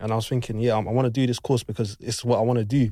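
Very fast, flat, monotone delivery from a man with a London accent, dark and mellow in tone, on a very clean recording with a silent background. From West London. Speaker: sound engineer. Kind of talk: casual chat.

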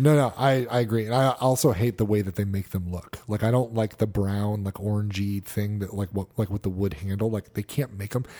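Talking at a fairly quick pace with hardly any pauses, a man with an American accent has a dark, mellow tone, fairly low pitch and ordinary pitch variation. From Connecticut, US. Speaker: podcast co-host. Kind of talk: casual chat.

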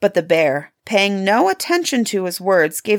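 Over a quiet background, the speaker reads aloud in a natural voice, the intonation lively.

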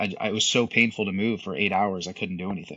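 A man with an American accent and a normal speaking voice, fairly low in pitch, with fairly even intonation. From US, south Florida. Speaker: special operations veteran and business owner. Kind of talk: interview.

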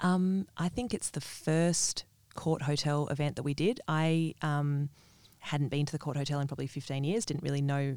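Someone speaks at a moderate pace with an Australian accent. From Western Australia (Perth). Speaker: small business owner, fairy floss caterer. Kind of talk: casual interview. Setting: studio.

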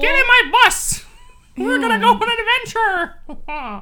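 A female-sounding put-on character voice goes extremely high, with very wide pitch swings at a fairly slow pace. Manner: cheery, enthusiastic.

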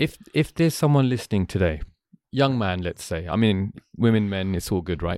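With a London accent, a man talks at a fairly quick pace in a fairly low voice with lively intonation, his sound dry and close with no echo in a very clean recording with a silent background. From London, England. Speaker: podcast host. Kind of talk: casual chat. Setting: studio.

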